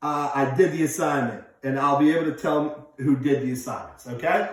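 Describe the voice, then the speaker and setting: Audible room echo surrounds a voice at a moderate pace. The intonation is monotone and flat. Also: man, fairly high pitch for a man. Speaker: teacher. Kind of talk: lesson. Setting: office. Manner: loud. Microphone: echo in room.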